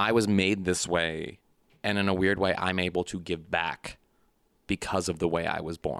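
This man speaks at a moderate pace in a very deep, low pitch, his intonation monotone and flat. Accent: Midwestern American. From St. Louis, Missouri. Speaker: comedian. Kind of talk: casual chat.

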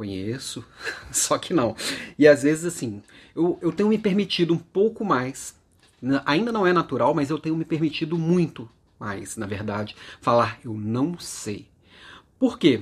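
In a very clean recording with a silent background, a somewhat breathy man speaks at a fairly slow pace, leaving long, frequent pauses and swinging very widely in pitch. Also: fairly high pitch for a man. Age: 40s. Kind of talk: daily motivational monologue.

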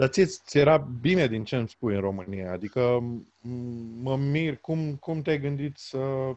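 An ordinary speaking voice talks at a fairly slow pace over a quiet background. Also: man. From Romania. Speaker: podcast host. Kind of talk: interview. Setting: internet call.

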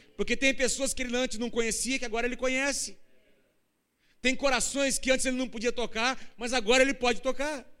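Through audible room echo, a man projects a raised voice at an extremely high pitch, fairly quick in pace but with long, frequent pauses, his bright, sharp tone set in a monotone, flat intonation. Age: 50s. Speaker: pastor. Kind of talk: sermon. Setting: church.

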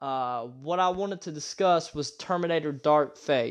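A man speaks at a fairly slow pace in an unremarkable speaking voice, pitched fairly high. His pitch varies in an ordinary way over a quiet background. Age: 30s. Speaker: podcast host, movie reviewer. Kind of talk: solo movie review monologue.

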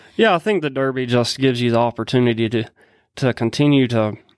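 In a very clean recording with a silent background, a man with an ordinary speaking voice talks at a medium pitch with ordinary pitch variation. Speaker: horse trainer. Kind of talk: interview. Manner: soft-spoken, calm.

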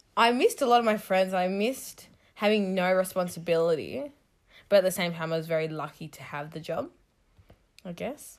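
With lively intonation and big swings in loudness, the speaker moves at a fairly quick pace with long, frequent pauses, on a very clean recording with a silent background. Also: woman, medium pitch for a woman. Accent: Australian. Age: 20s. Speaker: podcast host, hairdresser. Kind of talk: casual chat.

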